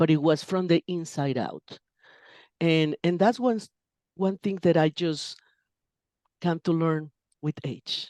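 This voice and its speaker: Over a quiet background, a woman with a Spanish accent speaks in a fairly low, dark, mellow voice, recorded dry and close with no echo. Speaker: interpreter and translator. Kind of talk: interview conversation. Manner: halting with self-corrections.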